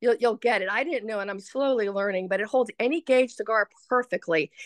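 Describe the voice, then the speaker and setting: The background is quiet as a woman speaks at a fairly high pitch. The sound is dry and close, with no echo. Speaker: small business owner. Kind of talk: product demonstration. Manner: fast.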